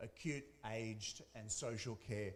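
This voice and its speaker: With an Australian accent, a man talks at a fairly slow pace and a medium pitch. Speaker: academic researcher. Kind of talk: conference presentation.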